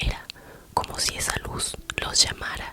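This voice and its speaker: A woman whispers over noticeable background noise. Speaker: ASMR creator. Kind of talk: horror story reading. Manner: whispered.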